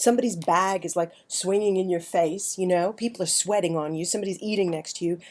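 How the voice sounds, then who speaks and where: With a New York accent, a woman talks at a fairly quick pace in a dark, mellow tone with ordinary pitch variation. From New York City. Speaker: writer, vlogger. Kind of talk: personal storytelling monologue. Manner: conversational, halting with fillers.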